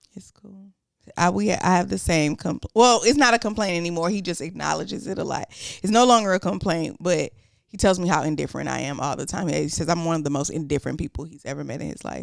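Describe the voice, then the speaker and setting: Very fast and full of lively intonation, a woman with a fairly low pitch and vocal fry speaks with big swings in loudness. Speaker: podcast co-host. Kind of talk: casual chat. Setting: sitting on a couch.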